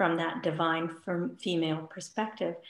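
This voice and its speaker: A woman speaks in a quiet setting, with audible echo from the room. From India. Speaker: spiritual healer and yoga teacher; yoga teacher. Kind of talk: interview. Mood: calm, warm, reflective. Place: home room. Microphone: video call.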